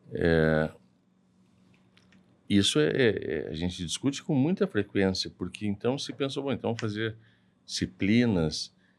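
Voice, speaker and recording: Over a very clean recording with a silent background, a man speaks with lively intonation. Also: long, frequent pauses. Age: 60s. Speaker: hip surgeon and university professor. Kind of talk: casual interview chat.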